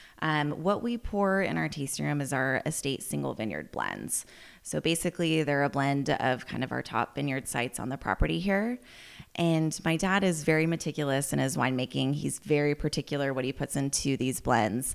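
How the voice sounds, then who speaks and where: Very deep, low pitch from a woman with an American accent, a fairly quick pace, and a very clean recording over a silent background. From US West Coast, Healdsburg in Sonoma County, California. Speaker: winery manager. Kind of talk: interview. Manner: frequent laughter and fillers.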